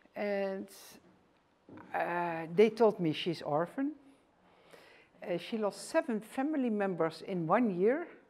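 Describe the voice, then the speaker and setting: With a Dutch accent, a woman talks very slowly at medium pitch with lively intonation and long, frequent pauses. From Netherlands, rural village. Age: 60s. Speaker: author and former teacher. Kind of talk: presentation lecture. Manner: halting.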